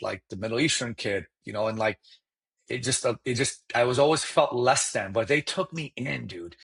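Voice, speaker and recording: A man with an Iranian accent at a moderate pace, ordinary pitch variation, and a dry, close sound with no echo. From Iranian family, grew up in Chicago area. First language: Farsi. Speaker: mortgage loan officer. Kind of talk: interview storytelling. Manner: animated.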